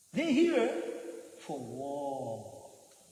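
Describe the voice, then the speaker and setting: A man with lively intonation, amid audible room echo and noticeable background noise. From France. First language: French. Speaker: Hare Krishna preacher. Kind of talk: religious lecture. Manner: animated, laughing a lot; repetitive, halting.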